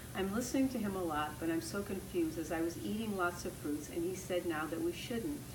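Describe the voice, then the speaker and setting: Noticeable background noise sits behind a woman whose fairly low voice moves with lively intonation. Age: 70s. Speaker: raw food health educator. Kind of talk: answering viewer questions. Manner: casual, encouraging. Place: home room.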